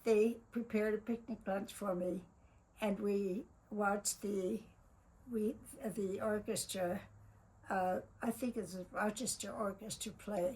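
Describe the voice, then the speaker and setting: A somewhat breathy woman's voice with a dark, mellow tone and a fairly slow pace. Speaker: family memoir narrator. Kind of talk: narrating a photo slideshow. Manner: halting.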